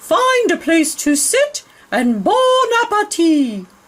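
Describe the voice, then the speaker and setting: In a put-on character voice with extremely high pitch and very wide pitch swings, the speaker goes at a very slow pace. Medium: read story.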